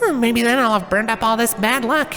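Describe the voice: With faint music in the background, a man puts on a character voice at an extremely high pitch, with a bright, sharp tone, ordinary pitch variation and a fairly quick pace.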